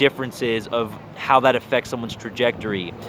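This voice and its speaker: A man with an American accent amid noticeable background noise. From US West Coast, San Diego. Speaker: vlogger. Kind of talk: personal monologue. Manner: casual, filler-heavy.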